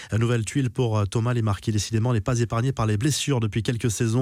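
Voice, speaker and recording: This is a man's voice. The tone is dark and mellow. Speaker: sports news presenter. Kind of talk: sports news reading, scripted daily football news bulletin. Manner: brisk, steady newsreader delivery, formal and neutral.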